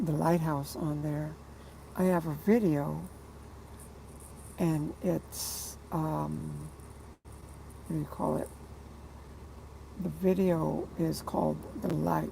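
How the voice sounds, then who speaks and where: A quiet woman at a very slow pace, with long, frequent pauses and audible room echo. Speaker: truck driver and artist livestreaming. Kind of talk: casual livestream monologue. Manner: quiet, low-pitched delivery; hesitant, many fillers.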